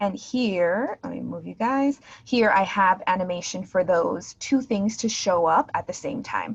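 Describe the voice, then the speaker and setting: A somewhat breathy woman speaks at a fairly slow pace with a medium pitch and lively intonation. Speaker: teacher trainer. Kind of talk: virtual teacher training tutorial. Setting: video call.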